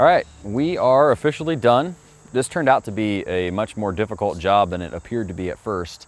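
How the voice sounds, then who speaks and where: A man talks at a fairly quick pace with very wide pitch swings. The sound is dry with no echo. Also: fairly low pitch for a man. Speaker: presenter. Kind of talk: job recap commentary. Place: garden.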